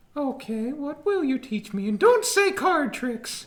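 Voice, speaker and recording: Doing a put-on character voice, a man speaks at a fairly slow pace in an extremely high pitch. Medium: actual play. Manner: brash, sarcastic.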